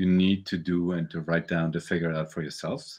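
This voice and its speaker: The speaker talks at a moderate pace in a German accent. The background is quiet. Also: man. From Germany. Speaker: visual artist and novelist. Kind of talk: casual interview. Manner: halting, repeats words.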